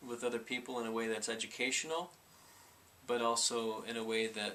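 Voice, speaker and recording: With a monotone, flat intonation, a man speaks at medium pitch and a moderate pace. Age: 30s. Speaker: vlogger with Tourette syndrome. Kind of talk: personal testimony vlog. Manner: halting, with repetitions and fillers; vocal tics.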